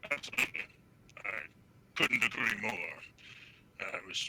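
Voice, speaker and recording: A put-on character voice, growling and raspy. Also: man. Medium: actual play. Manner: gruff, sardonic.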